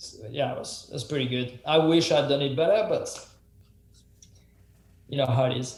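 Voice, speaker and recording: Speaking at a moderate pace with a French accent, a man with a fairly high voice shows ordinary pitch variation, big swings in loudness and long, frequent pauses. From France. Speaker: professional mountain biker and YouTuber. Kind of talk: podcast interview answers.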